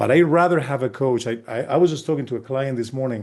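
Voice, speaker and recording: Over a quiet background, the voice has a dark, mellow tone and ordinary pitch variation. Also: man. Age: 60s. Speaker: sport psychologist. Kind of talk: casual chat.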